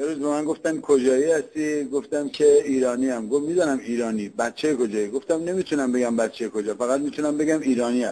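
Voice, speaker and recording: Speaking with hardly any pauses, a man has a fairly high pitch and a dark, mellow tone. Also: ordinary pitch variation, fairly quick pace. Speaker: comedian. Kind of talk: comic monologue imitating regional accents.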